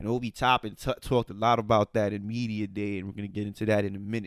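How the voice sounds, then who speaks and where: The man's pitch is fairly low, his intonation flat and monotone. He talks at a very fast pace. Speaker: sports podcast co-host. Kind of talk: casual podcast chat. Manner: stuttering, halting today.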